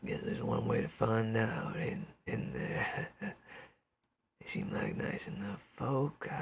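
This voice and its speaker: Putting on a raspy character voice, a man speaks very slowly with hardly any pauses, at a fairly high pitch with very wide pitch swings. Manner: bossy, scolding his crew.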